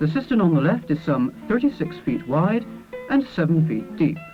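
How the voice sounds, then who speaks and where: Music plays in the background while a man with a fairly high voice talks at a medium speed, his intonation lively. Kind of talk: documentary narration.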